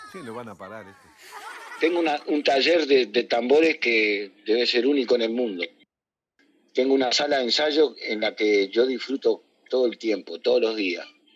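At a moderate pace, a man talks with big swings in loudness. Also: medium pitch for a man, ordinary pitch variation. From Uruguay, Montevideo (Barrio Sur). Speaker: candombe drummer. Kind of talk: interview. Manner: halting.

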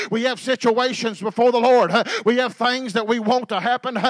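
Over noticeable background noise, a man talks at a fairly quick pace with an animated tone in an extremely high pitch. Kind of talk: sermon, preacher in full flow. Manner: animated, call-and-response, urging the congregation to say amen; conversational and plain-spoken, warm, with homespun metaphors.

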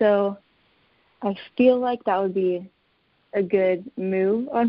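A woman's medium-pitched voice, a plain, everyday voice. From Texas. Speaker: photographer, business owner. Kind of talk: casual interview.

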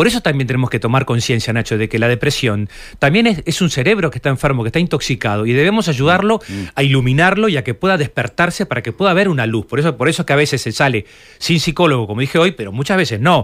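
Speech in a Uruguayan accent runs at a very fast pace with very wide pitch swings. The recording is very clean, with a silent background. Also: man, fairly high pitch for a man. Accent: Uruguayan Rioplatense Spanish. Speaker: psychologist. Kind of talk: radio interview.

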